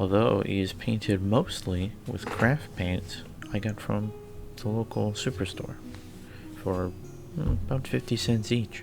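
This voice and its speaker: Music plays in the background as the speaker moves at a fairly slow pace with ordinary pitch variation. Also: man, fairly low pitch for a man. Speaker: hobby miniature painter. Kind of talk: casual hobby vlog narration. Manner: hesitant, casual.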